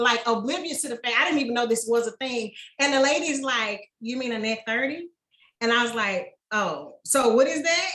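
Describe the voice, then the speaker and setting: Here a woman talks in a high pitch with a bright, sharp tone and an American accent. Her pitch varies in an ordinary way. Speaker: small business owner. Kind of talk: podcast interview. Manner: fast; casual.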